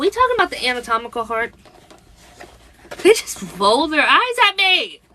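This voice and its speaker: In an American accent, a woman projects a raised, extremely high-pitched voice with very wide pitch swings and big changes in loudness, talking at a moderate pace with long, frequent pauses over noticeable background noise. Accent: Virginia accent slipping out. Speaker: spiritual channeler livestreamer. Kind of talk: live stream chat with channeled messages. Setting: live stream on social media app. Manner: casual, tripping over words.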